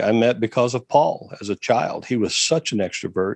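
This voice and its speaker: The dry, close sound with no echo carries a man at medium pitch and a moderate pace. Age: 60s. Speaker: missionary trainer. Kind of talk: interview. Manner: halting.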